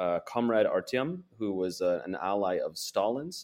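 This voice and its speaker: The speaker has an American accent and a fairly slow pace. Pitch varies in an ordinary way. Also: man. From Portland, Oregon, US. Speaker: foreign correspondent and author. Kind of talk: interview.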